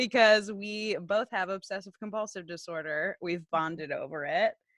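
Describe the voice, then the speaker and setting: A woman with an American accent speaks at a moderate pace and medium pitch, with ordinary pitch variation in a dry, close sound with no echo. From Oklahoma. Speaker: podcast co-host. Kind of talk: casual chat.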